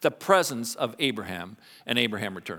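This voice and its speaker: A man speaks with a Canadian accent. His pitch swings very widely. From Canada. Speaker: pastor. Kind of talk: sermon. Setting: church.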